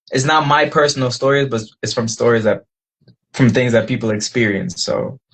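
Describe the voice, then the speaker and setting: A somewhat breathy man speaks at a moderate pace with fairly even intonation. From Guyana. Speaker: singer-songwriter. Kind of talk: casual interview.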